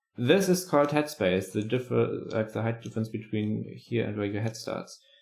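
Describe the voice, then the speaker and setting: A man speaks at a moderate pace and medium pitch, with vocal fry and lively intonation. The recording is very clean with a silent background. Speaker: channel review host. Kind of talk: live stream channel critique. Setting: live stream. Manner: halting, with repetitions.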